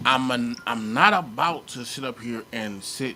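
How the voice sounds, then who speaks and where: A man's medium-pitched voice with lively intonation at a fairly slow pace. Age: 40s. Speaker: podcast host. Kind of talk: casual chat.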